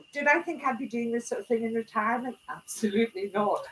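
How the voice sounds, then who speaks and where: Over noticeable background noise, a woman with a Scottish accent talks at a very fast pace. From Scotland. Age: 70s. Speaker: retired club president giving a talk. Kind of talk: talk to a small audience. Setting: small room with audience.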